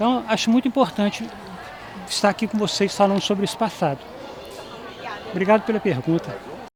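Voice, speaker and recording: Over noticeable background noise, a high-pitched man talks at a fairly quick pace with ordinary pitch variation and long, frequent pauses. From Brazil, Juiz de Fora, Minas Gerais. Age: 70s. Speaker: former student giving testimony. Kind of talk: testimony interview. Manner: halting, repeats words.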